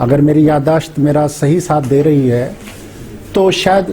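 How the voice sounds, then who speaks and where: A man with a Haryanvi accent speaks at a fairly high pitch. Noticeable background noise runs behind him. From Haryana. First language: Haryanvi (speaking Hindi). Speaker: English professor. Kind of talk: lecture.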